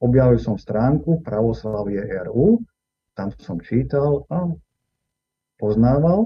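A man at a medium pitch, very slow and somewhat breathy, with lively intonation and long, frequent pauses. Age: 60s. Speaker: Orthodox priest. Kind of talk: interview.

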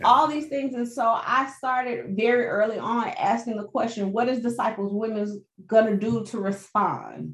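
A woman with an American accent and a plain, everyday voice speaks at a moderate pace with hardly any pauses, her fairly high pitch showing ordinary variation. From US South (Birmingham, Alabama). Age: 40s. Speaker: pastor, ministry director. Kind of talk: interview conversation.

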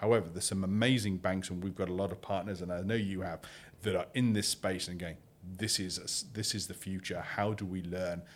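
Over a silent background in a very clean recording, a man with a British accent and a very deep, low pitch speaks at a fairly quick pace with fairly even intonation. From UK. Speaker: crypto exchange CEO. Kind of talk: interview. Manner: halting.

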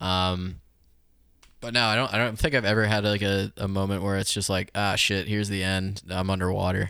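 Recorded very cleanly over a silent background, a man with a fairly low pitch and a bright, sharp tone speaks at a moderate pace. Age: 20s. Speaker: streamer and musician. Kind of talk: casual chat.

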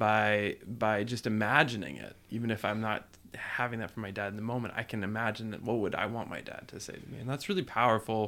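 With an American accent and an ordinary speaking voice, the speaker moves at a fairly quick pace with hardly any pauses, fairly even intonation and big swings in loudness, on a very clean recording with a silent background. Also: man, fairly low pitch for a man. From New Jersey. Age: 40s. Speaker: podcast guest, father and writer. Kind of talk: casual chat.

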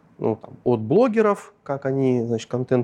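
A man's medium-pitched, dark and mellow voice at a moderate pace, dry and close with no echo. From northern Russia, Arkhangelsk region. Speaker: tech product director. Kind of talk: interview.

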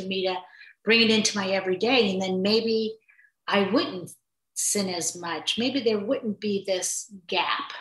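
A woman speaks in a plain, everyday voice with an American accent. Her pitch is medium and her intonation fairly even. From New York. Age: 60s. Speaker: mother and grandmother sharing faith journey. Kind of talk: casual conversation. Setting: in person recording.

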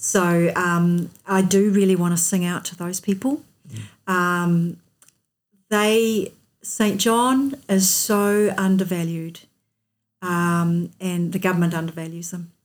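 A woman's medium-pitched voice with a New Zealand accent, very slow pace and ordinary pitch variation. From New Zealand, North Otago. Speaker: accountant and multisport athlete. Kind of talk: interview.

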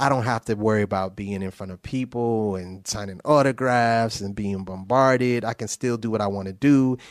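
In a very clean recording with a silent background, a man uses an ordinary speaking voice, fairly low in pitch with fairly even intonation, moving at a moderate pace with hardly any pauses. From New Haven, Connecticut. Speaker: songwriter and music producer. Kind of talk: casual interview.

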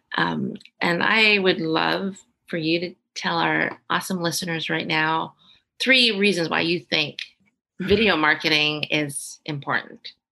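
Her fairly low voice has a bright, sharp tone and vocal fry, moving at a fairly slow pace with ordinary pitch variation. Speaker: podcast host. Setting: video call.

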